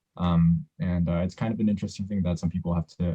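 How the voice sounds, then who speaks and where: This man's voice has ordinary pitch variation. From United States. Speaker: podcast co-host. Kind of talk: casual chat.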